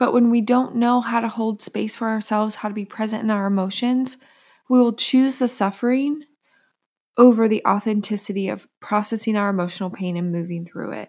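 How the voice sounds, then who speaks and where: Here is an unremarkable speaking voice: a woman with a fairly high pitch, talking at a fairly quick pace. Her intonation is fairly even, and the recording is very clean, with a silent background. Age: 30s. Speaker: podcast host and psychotherapist. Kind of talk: solo podcast monologue.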